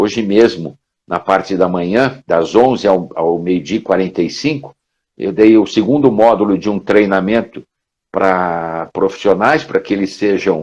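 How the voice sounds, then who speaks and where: A man with a normal speaking voice and a fairly low pitch speaks at a fairly slow pace with ordinary pitch variation against a quiet background. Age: 60s. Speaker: professor and career trainer. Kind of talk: casual interview chat. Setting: live stream video call.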